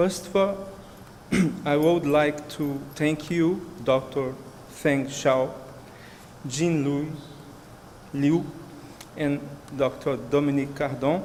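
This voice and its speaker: Through audible room echo and noticeable background noise, a man with a Brazilian Portuguese accent talks at a very slow pace with long, frequent pauses, his fairly high voice keeping fairly even intonation. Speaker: researcher. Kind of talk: conference talk. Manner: halting.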